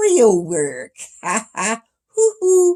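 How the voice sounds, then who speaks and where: A raised, projected, female-sounding voice in a put-on character voice. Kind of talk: bossy, casual. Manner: mocking, ad-libbed, laughing.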